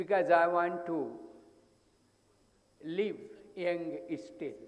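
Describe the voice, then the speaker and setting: In a room with audible echo, a man speaks at a high pitch with lively intonation at a very slow pace. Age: 80s+. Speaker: psychologist. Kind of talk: conference talk.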